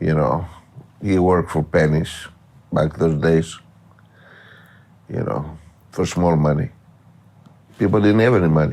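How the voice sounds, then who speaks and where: In a Greek accent, a man with a very deep, low pitch speaks at a fairly slow pace with ordinary pitch variation and long, frequent pauses. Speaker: professional gambler. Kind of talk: interview. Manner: halting.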